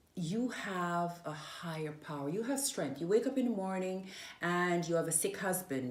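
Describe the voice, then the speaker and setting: Lively intonation comes through amid audible room echo. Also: woman. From Jamaica (Manchester parish). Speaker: interviewee sharing her life story. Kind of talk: interview.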